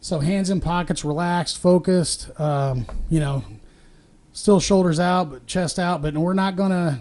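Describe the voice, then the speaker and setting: The voice is loud, at a moderate pace with ordinary pitch variation. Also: man, high pitch for a man. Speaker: podcast host and sales coach. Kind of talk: instructional talk. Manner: animated.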